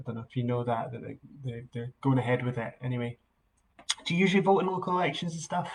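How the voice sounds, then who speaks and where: Somewhat breathy, a man with a Scottish accent speaks with ordinary pitch variation. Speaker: political campaign volunteer. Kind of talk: phone canvassing call, live-streamed. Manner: hesitant, many fillers and restarts.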